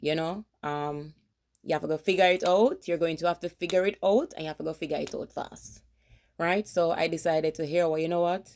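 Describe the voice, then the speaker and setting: A woman with a Jamaican accent talks at a fairly quick pace in a fairly low pitch with fairly even intonation, on a very clean recording with a silent background. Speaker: vlogger, army veteran. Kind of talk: casual vlog.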